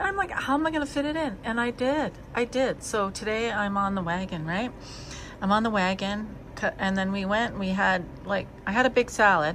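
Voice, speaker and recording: A woman talks at a moderate pace with a normal speaking voice and a medium pitch. Her intonation is lively. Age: 60s. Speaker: cat channel vlogger. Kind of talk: casual chat. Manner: casual, rambling with interruptions.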